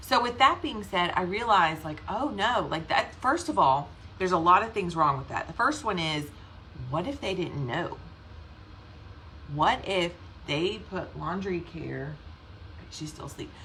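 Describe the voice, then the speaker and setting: A woman with a Southern US accent speaks in an animated tone at a moderate pace and medium pitch, her voice making very wide pitch swings and big swings in loudness, with long, frequent pauses and audible room echo. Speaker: direct sales team leader. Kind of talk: casual livestream talk. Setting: live video stream.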